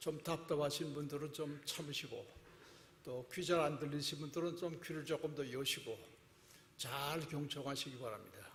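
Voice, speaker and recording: With audible room echo around him, a man speaks in a monotone at a fairly high pitch. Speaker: guest preacher. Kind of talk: sermon. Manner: deliberately slow.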